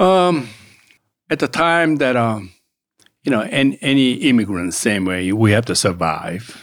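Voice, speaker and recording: At a fairly slow pace with long, frequent pauses, a man with a Korean accent speaks at a medium pitch with very wide pitch swings, in a very clean recording with a silent background. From South Korea, raised in Augusta, Georgia. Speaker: political candidate and author. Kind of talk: interview. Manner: animated.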